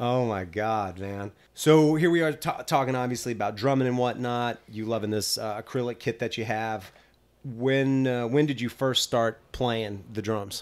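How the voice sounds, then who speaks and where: An unremarkable speaking voice from a man at medium pitch, with ordinary pitch variation and a moderate pace. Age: 40s. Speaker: podcast host, drummer. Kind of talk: casual interview chat.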